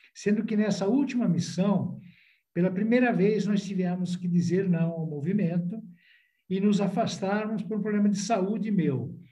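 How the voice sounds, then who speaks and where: A man with a high-pitched, dark and mellow voice talks at a moderate pace with ordinary pitch variation, and the room echo is audible. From Italy. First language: Italian (speaking Portuguese). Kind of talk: podcast interview.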